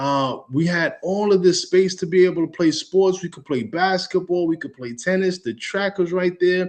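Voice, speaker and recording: In an animated tone, a man speaks at a high pitch and a moderate pace with ordinary pitch variation. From New York, Long Island (raised, via Brooklyn). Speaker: real estate educator. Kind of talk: webinar presentation.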